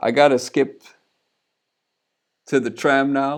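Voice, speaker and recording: At a very slow pace, a man speaks at a medium pitch. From Sweden. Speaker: music producer and streamer. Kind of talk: casual live stream chat. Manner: casual, hesitant.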